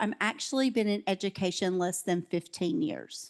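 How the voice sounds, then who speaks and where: Against a quiet background, a woman speaks with ordinary pitch variation. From US South. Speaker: education specialist. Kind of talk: conference talk. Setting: conference breakout room with audience. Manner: loud.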